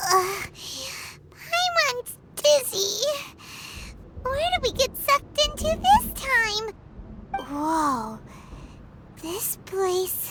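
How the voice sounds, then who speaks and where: In a put-on character voice, a female-sounding speaker talks at an extremely high pitch and a very slow pace, with long, frequent pauses and light background noise. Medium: fan dub. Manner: chatty, hesitant, refers to self in third person.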